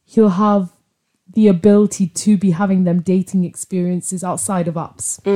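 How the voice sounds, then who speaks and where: A woman's somewhat breathy voice with a dark, mellow tone, monotone, flat intonation, moderate pace, and a dry, close sound with no echo. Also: medium pitch for a woman. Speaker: friend. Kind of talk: casual chat.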